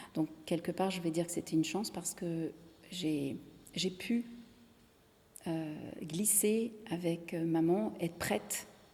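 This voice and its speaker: A woman's somewhat breathy, dark, mellow voice, fairly low in pitch, at a fairly slow pace with ordinary pitch variation. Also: long, frequent pauses. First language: Italian (speaking French). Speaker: singer-songwriter. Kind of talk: interview. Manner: halting, many repetitions.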